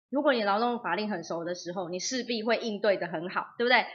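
A woman with an unremarkable speaking voice talks at a fairly quick pace in a medium pitch, with lively intonation. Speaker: labour law instructor, former legal officer. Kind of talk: livestream talk.

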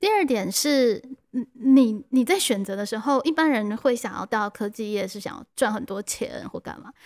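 A woman talks at a moderate pace in a high pitch, her intonation lively. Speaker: teacher and podcast host. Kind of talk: interview; scripted narration. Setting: classroom.

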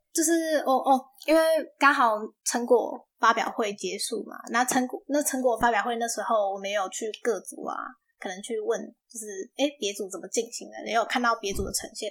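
The recording is very clean with a silent background, capturing an ordinary speaking voice at a moderate pace, with ordinary pitch variation and big swings in loudness. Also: woman, fairly high pitch for a woman. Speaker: university student, aspiring English teacher. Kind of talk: casual interview.

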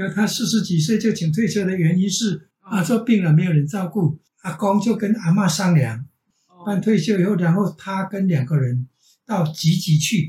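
This man's voice sits high in pitch. The pitch rises and falls by an ordinary amount. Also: moderate pace. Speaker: retired teacher. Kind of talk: casual family conversation.

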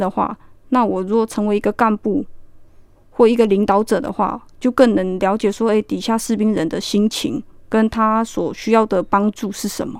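An ordinary speaking voice at a moderate pace, fairly even in intonation, on a very clean recording with a silent background. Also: woman. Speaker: army sergeant. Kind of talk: radio interview.

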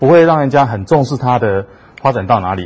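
A somewhat breathy man with lively intonation at a moderate pace. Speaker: physician, hospital vice superintendent. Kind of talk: lecture. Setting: talk with live audience and livestream. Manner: many hesitation fillers.

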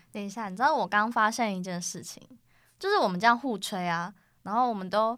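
An unremarkable speaking voice shows big swings in loudness. The recording is very clean, with a silent background. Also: woman, fairly high pitch for a woman, ordinary pitch variation, fairly quick pace. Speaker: college student podcast host. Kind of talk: casual chat.

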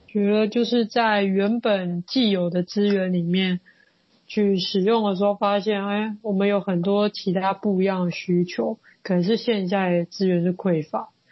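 With fairly even intonation, a woman speaks at a medium pitch and a fairly slow pace in a somewhat breathy voice. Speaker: podcast host, social worker. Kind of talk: interview.

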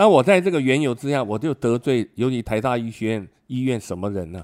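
On a very clean recording with a silent background, a man with an unremarkable speaking voice talks fairly quickly at a medium pitch with lively intonation. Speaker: retired immunology professor and physician. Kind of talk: interview.

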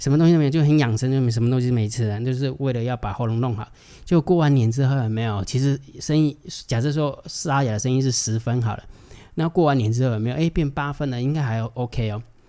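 A man's medium-pitched voice moves very fast, with ordinary pitch variation. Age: 40s. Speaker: stock market analyst. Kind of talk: casual livestream chat. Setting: livestream. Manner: soft-spoken. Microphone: close to the mic, gain turned up.

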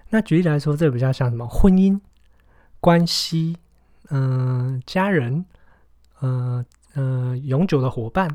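On a very clean recording with a silent background, a man with a dark, mellow tone and a medium pitch speaks fairly slowly with lively intonation and long, frequent pauses. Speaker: podcast host and entrepreneur. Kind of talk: book review monologue. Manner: casual with many fillers.

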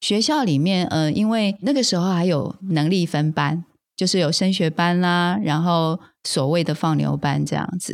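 At a moderate pace, a woman with a Taiwanese accent and a fairly low pitch speaks on a very clean recording with a silent background. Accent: Taiwanese Mandarin. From Taiwan, rural Taoyuan. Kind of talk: interview conversation.

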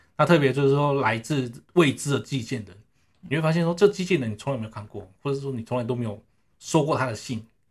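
Somewhat breathy, a man with a fairly high voice rushes along at a very fast pace with ordinary pitch variation. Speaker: network engineer. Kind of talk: casual interview. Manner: halting, many fillers.

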